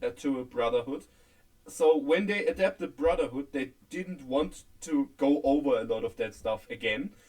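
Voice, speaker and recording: A man speaks at a moderate pace. His fairly high pitch moves in very wide swings. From Germany. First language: German. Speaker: podcast co-host. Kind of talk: casual chat. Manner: halting.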